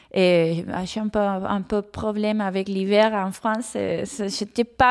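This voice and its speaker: A woman's medium-pitched voice with a Spanish accent, at a very slow pace. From Argentina. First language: Spanish (speaking French). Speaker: comics author. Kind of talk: interview. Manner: halting, frequent repetitions.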